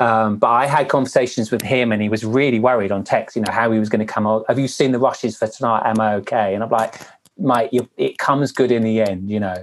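A man with a Welsh accent talks at a very fast pace. His intonation is fairly even. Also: medium pitch for a man. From Wales. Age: 50s. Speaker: former TV dating show host. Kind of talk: interview.

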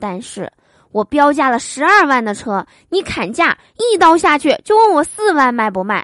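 A woman speaks high in her range with a playful, animated tone and very wide pitch swings. The sound is dry and close with no echo, over a quiet background. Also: moderate pace. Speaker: podcast host telling jokes. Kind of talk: comedic joke reading.

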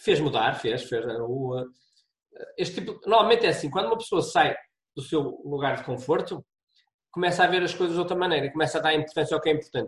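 This man talks very fast in a fairly high voice with lively intonation. He leaves long, frequent pauses. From Portugal, Braga. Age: 50s. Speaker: university professor and travel blogger. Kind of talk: podcast interview.

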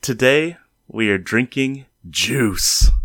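A man speaks at a very slow pace in a medium pitch. His tone is playful, and his pitch variation is ordinary. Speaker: podcast host. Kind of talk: casual banter podcast chat. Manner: jokey, chatty, playful.

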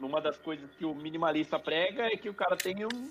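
Lively intonation marks this man's fairly high voice as he talks at a fairly slow pace. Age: 30s. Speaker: podcast co-host. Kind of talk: casual chat.

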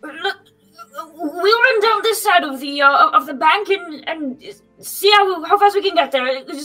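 In a put-on character voice, the speaker goes at a fairly slow pace with long, frequent pauses while faint music plays in the background. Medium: actual play. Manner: genial, slightly pompous, then urgent.

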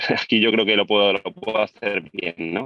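A man speaks with a fairly low pitch at a moderate pace. His intonation is monotone and flat. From Spain, Albacete. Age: 30s. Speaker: property investor. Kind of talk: interview.

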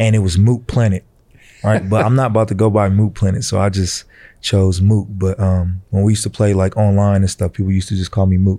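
A man with an American accent talks at a fairly quick pace in a fairly low pitch, dark and mellow in tone. His intonation is monotone and flat, his loudness very even, and the recording very clean with a silent background. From Vallejo, California, US. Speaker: college basketball player. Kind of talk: casual interview.

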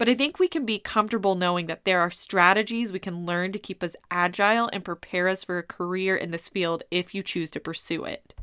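A woman speaks at a fairly quick pace and medium pitch in a bright, sharp tone with fairly even intonation. The sound is dry and close with no echo, in a very clean recording with a silent background. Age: 20s. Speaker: college instructor. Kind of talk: recorded lecture.

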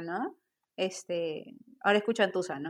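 An unremarkable speaking voice at a moderate pace, with ordinary pitch variation. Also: woman. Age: 30s. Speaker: tarot reader and spiritual guide. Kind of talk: casual interview chat.

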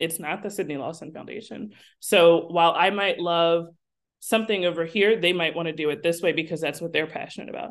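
Over a quiet background, a woman speaks in an ordinary speaking voice at a fairly low pitch. Her pitch variation is ordinary. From South Jersey, near Philadelphia. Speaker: foundation project manager. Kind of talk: podcast interview. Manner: casual, many filler words.

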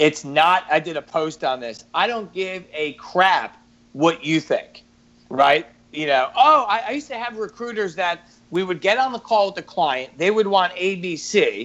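With a New York accent, a man speaks in a high pitch and lively intonation. His pace is fairly slow. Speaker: recruiter and public speaker. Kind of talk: casual chat.

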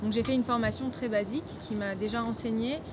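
A woman at a fairly high pitch and fairly quick pace, with audible room echo and noticeable background noise. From France. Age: 20s. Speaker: wedding photographer. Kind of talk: interview. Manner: halting, many fillers.

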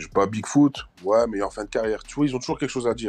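With a quiet background, a man talks at a fairly quick pace with ordinary pitch variation in an unremarkable speaking voice. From France, Portuguese community. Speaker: MMA fighter. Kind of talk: casual interview.

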